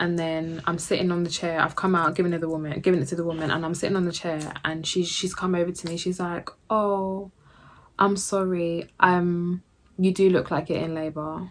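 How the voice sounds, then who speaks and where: With a London accent, a woman talks at a fairly quick pace in a fairly low, monotone and flat voice, recorded very cleanly against a silent background. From Jamaican. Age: 20s. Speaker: YouTuber, new mother. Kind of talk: casual talk to camera.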